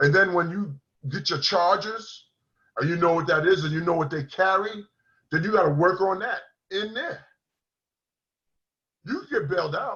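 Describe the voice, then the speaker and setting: Speaking at a high pitch in a raised, projected voice, a man keeps a moderate pace with ordinary pitch variation and long, frequent pauses. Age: 60s. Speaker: recovering addict sharing his story. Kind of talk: interview testimony.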